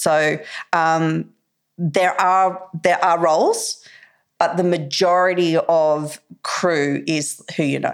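A woman with an Australian accent speaks in a fairly low, monotone, flat voice at very even loudness. Her pace is very slow, with long, frequent pauses. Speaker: actress, filmmaker and film school teacher. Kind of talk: casual interview chat.

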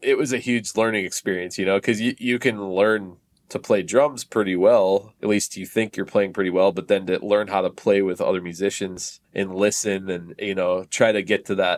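A fairly low-pitched man with an East Coast US accent talks at a moderate pace with fairly even intonation and hardly any pauses. The recording is very clean, with a silent background. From Connecticut, US East Coast. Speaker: drummer. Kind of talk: casual chat.

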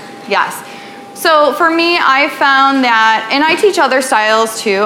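Music plays in the background and room echo is audible as the speaker goes at a very slow pace. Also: woman. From Western New York, Buffalo area. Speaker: tap teacher and dance studio owner. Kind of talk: workshop presentation. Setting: live room with audience at a retreat. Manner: casual, filler-heavy.

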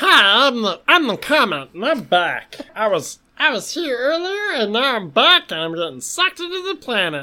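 In a put-on character voice that sounds female, the speaker talks at a moderate pace with a high pitch for a woman and very wide pitch swings. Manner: playful alien voice.

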